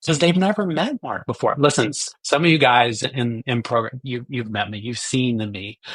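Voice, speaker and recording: Lively intonation marks a man with an ordinary speaking voice and a medium pitch, talking at a moderate pace with hardly any pauses. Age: 60s. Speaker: recovering addict sharing his story. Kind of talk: testimony. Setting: podcast interview.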